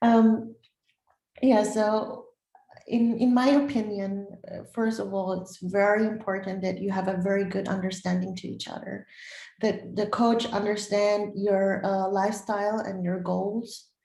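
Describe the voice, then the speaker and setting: A woman with a non-native accent speaks at a medium pitch in a monotone, flat intonation. Her volume swings widely, and audible room echo is present. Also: fairly slow pace. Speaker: bodybuilder and former track athlete. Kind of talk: interview. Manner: halting.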